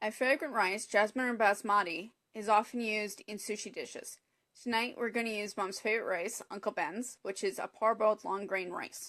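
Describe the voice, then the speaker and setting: A woman has a normal speaking voice with a Canadian accent and fairly high pitch. She talks at a moderate pace with fairly even intonation. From Canada. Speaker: cooking demonstrator. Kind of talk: live cooking tutorial. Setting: Facebook live broadcast.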